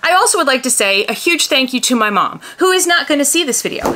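A woman speaks in a raised, projected voice with very wide pitch swings. Light background noise is present. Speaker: doll collector vlogger. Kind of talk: casual vlog chat. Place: home room.

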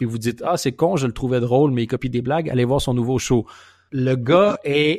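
In an ordinary speaking voice, a man talks at a fairly quick pace and medium pitch with ordinary pitch variation, on a very clean recording with a silent background. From Quebec. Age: 30s. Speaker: comedian. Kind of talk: casual chat. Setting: call from abroad.

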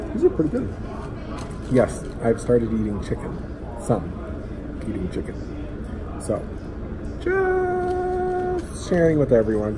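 A man talks at a fairly slow pace, leaving long, frequent pauses, while noticeable background noise persists. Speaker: food reviewer. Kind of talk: casual vlog chat. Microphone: phone near.

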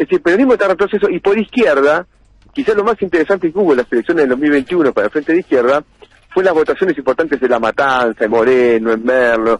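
Very fast and fairly high-pitched, a man speaks with very wide pitch swings and very even loudness in a dry recording with no echo and a quiet background. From Argentina. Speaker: politician. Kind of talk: radio interview. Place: studio.

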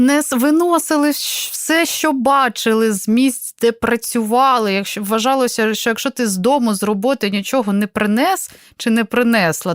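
In a normal speaking voice, a woman talks at a moderate pace with fairly high pitch. Her loudness stays very even on a very clean recording with a silent background. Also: dry, close sound with no echo. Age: 30s. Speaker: radio host. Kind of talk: radio talk show.

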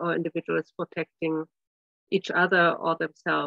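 A woman speaks at a moderate pace with a flat, monotone delivery. The sound is dry with no echo, over a quiet background. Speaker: presenter. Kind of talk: lecture. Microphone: video call.

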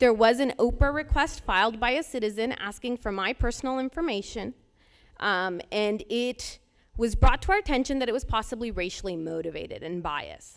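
An ordinary speaking voice, a woman's, moves at a fairly quick pace with a fairly high pitch and lively intonation on a very clean recording with a silent background. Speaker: resident speaking at public comment. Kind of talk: public comment at board meeting. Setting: public board meeting.

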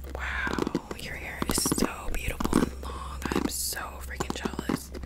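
Over noticeable background noise, a woman whispers. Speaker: ASMR creator. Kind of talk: ASMR roleplay with close-up personal attention. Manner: whispered, soft, friendly.

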